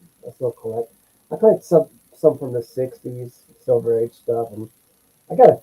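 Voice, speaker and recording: A man's medium-pitched, somewhat breathy voice, dark and mellow in tone, with a dry, close sound and no echo. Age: 60s. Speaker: comic book collector. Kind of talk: casual chat.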